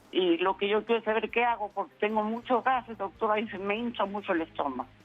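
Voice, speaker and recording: Her voice sits fairly high for a woman, and she talks very fast. The pitch moves in an ordinary way. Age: 80s+. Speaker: caller. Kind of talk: call-in question. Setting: phone call.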